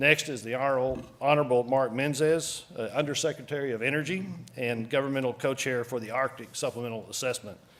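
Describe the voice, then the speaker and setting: With a Texan accent, a man speaks at medium pitch and a very fast pace. His intonation is fairly even, with hardly any pauses. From Texas. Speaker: council chair presiding over meeting. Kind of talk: formal meeting proceedings. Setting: meeting room with audience, webcast. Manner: hesitant, many filler words.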